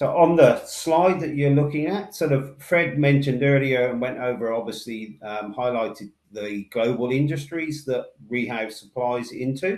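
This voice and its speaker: This man speaks with a Somerset accent. His pitch is fairly high, with ordinary variation. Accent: Somerset twang. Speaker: industry sales manager. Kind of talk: webinar presentation. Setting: online webinar. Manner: deliberately slow.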